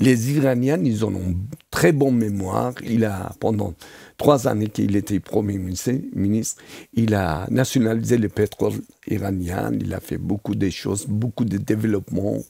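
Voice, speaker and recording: Pitched fairly low, a man speaks at a fairly slow pace with ordinary pitch variation. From Iran. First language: Persian (speaking French). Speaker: tourism expert. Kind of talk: interview. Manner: hesitant, many fillers.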